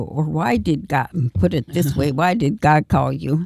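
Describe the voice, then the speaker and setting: This woman speaks with an American accent and vocal fry. Her sound is dry and close, without any echo. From Minnesota, Minneapolis suburbs. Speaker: retired nun. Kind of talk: radio interview. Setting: radio studio.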